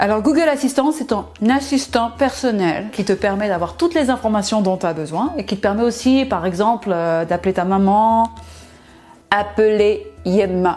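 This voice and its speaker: A woman's voice is fairly high in pitch with lively intonation. She speaks at a fairly slow pace. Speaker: product presenter. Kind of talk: sales pitch. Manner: animated.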